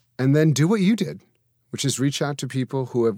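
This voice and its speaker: Recorded very cleanly with a silent background and a dry, close sound with no echo, a man with an ordinary speaking voice speaks at medium pitch with lively intonation. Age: 50s. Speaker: minister and interfaith advisor. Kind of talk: casual interview chat.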